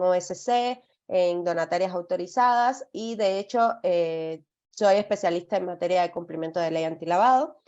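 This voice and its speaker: Ordinary pitch variation marks this speech, which holds a moderate pace. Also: woman. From outside Mexico, Spanish-speaking country. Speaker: legal compliance consultant. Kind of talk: webinar presentation. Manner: hesitant, many fillers and repetitions.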